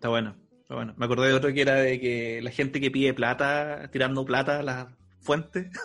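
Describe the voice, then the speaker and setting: With music in the background, a man with a Chilean accent speaks fairly quickly at a medium pitch, his intonation fairly even. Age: 30s. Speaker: podcast host. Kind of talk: casual chat.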